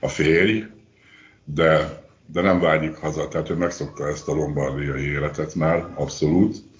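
A man's very deep, low pitch with fairly even intonation. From Hungary. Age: 60s. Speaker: retiree living abroad. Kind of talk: interview. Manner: halting.

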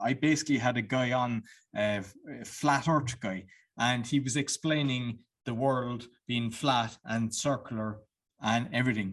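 A man speaks with an ordinary speaking voice and fairly even intonation. The background is quiet. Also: medium pitch for a man. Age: 40s. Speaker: podcast host. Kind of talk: casual interview.

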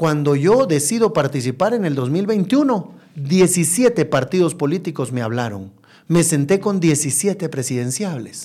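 Very slow speech from a man, fairly high in pitch and dark, mellow in tone, with very wide pitch swings. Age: 40s. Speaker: mayoral candidate. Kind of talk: interview.

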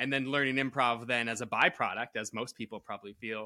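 Here a man with an American accent speaks at a medium pitch in a bright, sharp tone. The sound is dry and close with no echo, on a very clean recording with a silent background. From Connecticut. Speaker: improviser and author. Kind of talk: casual chat.

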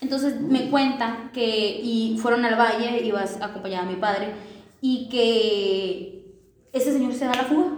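A woman speaks at a fairly slow pace in a fairly high pitch with ordinary pitch variation. There is noticeable background noise and audible room echo. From Sinaloa, Mexico; raised partly on a ranch. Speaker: podcast guest. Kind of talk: casual chat.

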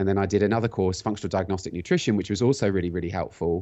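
A man talks in a very deep, low voice. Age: 40s. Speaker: functional medicine practitioner and cyclist. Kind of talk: casual interview chat. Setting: phone or video call.

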